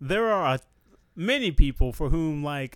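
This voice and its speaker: This man has a plain, everyday voice, fairly high in pitch, speaking at a moderate pace on a very clean recording with a silent background. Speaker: podcast host. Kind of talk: casual banter podcast chat. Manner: joking, laughs often.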